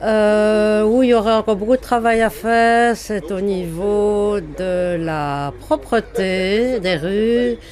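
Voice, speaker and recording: A woman speaks at a very slow pace with hardly any pauses. Her medium pitch shows ordinary pitch variation. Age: 60s. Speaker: retiree, citizen interviewee. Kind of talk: vox pop testimony. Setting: mobile studio truck at a market.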